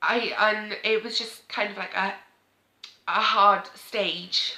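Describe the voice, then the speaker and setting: Very slowly, a woman speaks in a Welsh accent. Her intonation stays monotone and flat. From Wales. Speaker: parenting vlogger. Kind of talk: emotional sit-down talk to camera.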